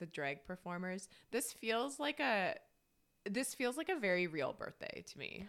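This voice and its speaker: Speaking at a fairly slow pace, a woman with a fairly high pitch and vocal fry swings very widely in pitch. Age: 30s. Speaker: podcast co-host. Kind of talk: casual chat.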